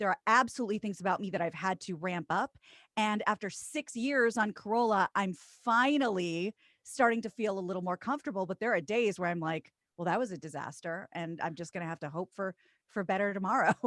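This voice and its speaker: In a very clean recording with a silent background and a dry, close sound with no echo, a woman with an American accent talks at a fairly quick pace and medium pitch, with ordinary pitch variation and a plain, everyday voice. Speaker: radio co-host and voiceover artist. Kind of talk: interview.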